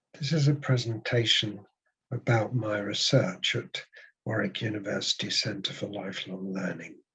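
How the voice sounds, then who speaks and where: A man with a fairly low pitch and a bright, sharp tone speaks with ordinary pitch variation. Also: moderate pace. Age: 70s. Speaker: psychotherapist and PhD researcher. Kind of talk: presentation. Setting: webinar.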